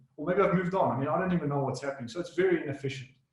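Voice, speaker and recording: A man speaks with ordinary pitch variation. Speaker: solution and technical architect. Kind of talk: webinar presentation. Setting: online webinar. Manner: fast.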